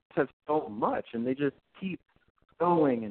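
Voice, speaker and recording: A man talks in a normal speaking voice. His pace is moderate, with ordinary pitch variation. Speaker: record store employee. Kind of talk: casual chat. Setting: phone call. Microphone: muffled, weak phone line.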